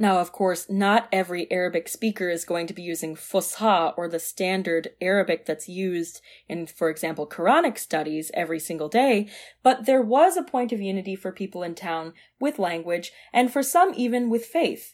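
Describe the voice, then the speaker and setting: With an American accent, a woman speaks at medium pitch and a moderate pace with lively intonation, on a very clean recording with a silent background. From US Midwest, Michigan. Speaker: podcast host and doctoral student. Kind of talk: monologue, solo podcast episode.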